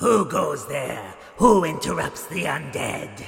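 A high-pitched man performs a put-on character voice. His pace is fairly slow. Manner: spooky, theatrical.

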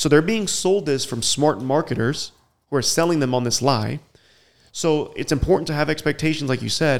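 An unremarkable speaking voice belongs to a man with a fairly high pitch who talks at a moderate pace with ordinary pitch variation, in a very clean recording with a silent background. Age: 30s. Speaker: web series host and YouTuber. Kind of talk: casual chat. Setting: podcast recorded in Colombia.

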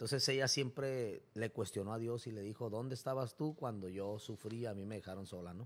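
Over a silent background in a very clean recording, a man talks at a fairly quick pace. His voice is medium-pitched and bright and sharp, with ordinary pitch variation. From Mexico, Tijuana. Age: 30s. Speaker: barber and preacher. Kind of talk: testimony. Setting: barbershop.

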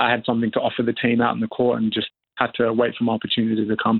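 Words come out at a very fast pace in an Australian accent. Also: man. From Perth, Western Australia (born South Sudan). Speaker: professional basketball player. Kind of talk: interview. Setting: remote call from New Zealand.

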